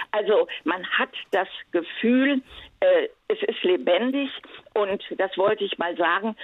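This woman speaks at a very slow pace. Her intonation is lively. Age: 80s+. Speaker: caller. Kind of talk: casual chat. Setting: phone call. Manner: halting.

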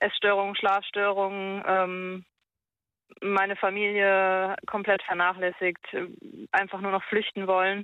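A woman talks at a fairly slow pace with a medium-pitched voice. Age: 20s. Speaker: caller. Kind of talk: phone-in conversation. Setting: phone call. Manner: halting.

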